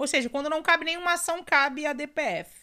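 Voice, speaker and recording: A raised, projected voice with a bright, sharp tone. The recording is very clean, with a silent background. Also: woman. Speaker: podcast host, constitutional law commentator. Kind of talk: solo podcast explainer. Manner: casual, conversational; halting, with repetitions.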